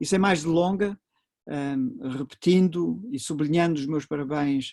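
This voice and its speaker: In a European Portuguese accent, a man speaks at a fairly high pitch with ordinary pitch variation. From Portugal. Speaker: professor. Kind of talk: lecture. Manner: halting, many fillers.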